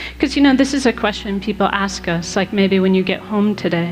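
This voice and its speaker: Music plays in the background. The tone is calm. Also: woman. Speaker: Buddhist nun and meditation teacher. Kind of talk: live talk to an audience. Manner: calm, peaceful.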